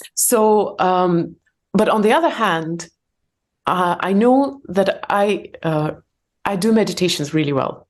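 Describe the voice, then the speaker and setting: A woman with a non-native accent speaks at a very slow pace. Her pitch is medium and her loudness very even. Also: lively intonation. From Soviet Union. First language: not English, English is third language. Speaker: entrepreneur and meditation teacher. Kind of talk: podcast interview. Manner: halting.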